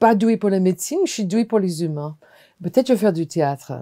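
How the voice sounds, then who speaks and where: A woman speaks in an American accent with a dark, mellow tone. The sound is dry and close with no echo, and her pitch varies in an ordinary way. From US, Washington. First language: English (speaking French). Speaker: hospital clown and performer. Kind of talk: testimony.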